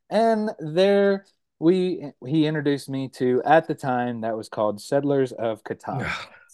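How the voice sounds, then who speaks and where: Talking fairly slowly with lively intonation, a man has an unremarkable speaking voice with a fairly high pitch. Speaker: content creator. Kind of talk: casual interview chat.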